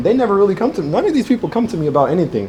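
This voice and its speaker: A man's lively intonation carries over noticeable background noise. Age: 20s. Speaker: trader hosting a community event. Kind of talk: casual Q&A at live event.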